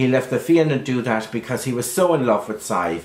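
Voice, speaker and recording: Speaking at a moderate pace with lively intonation, the voice carries a Kerry accent and vocal fry. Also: man. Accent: Irish, Kerry. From Ireland. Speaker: storyteller. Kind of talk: traditional folk tale telling to camera.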